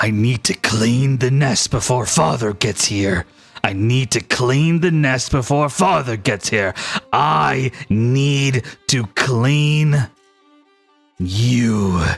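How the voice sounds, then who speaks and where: Using a put-on character voice at medium pitch, a man talks at a very slow pace. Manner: growling, screaming.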